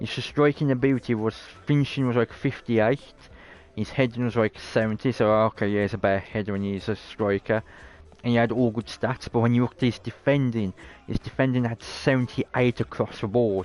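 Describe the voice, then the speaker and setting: Fairly even intonation and a fairly quick pace mark this voice with a British accent. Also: man, medium pitch for a man. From Britain. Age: 30s. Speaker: video game streamer. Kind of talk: casual live-stream gameplay commentary.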